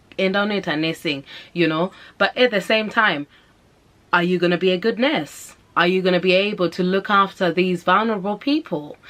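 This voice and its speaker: A woman speaks at a medium pitch with a slight Zimbabwean accent. Her tone is animated. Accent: Zimbabwean, slight, shows through at times. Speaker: vlogger and mother. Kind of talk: casual advice vlog.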